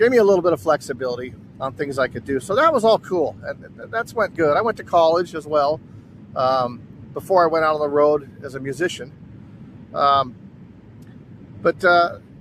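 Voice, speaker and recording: With an American accent and a plain, everyday voice, a man speaks at a moderate pace and fairly high pitch, his intonation lively. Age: 60s. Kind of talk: casual talk to camera. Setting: outdoors.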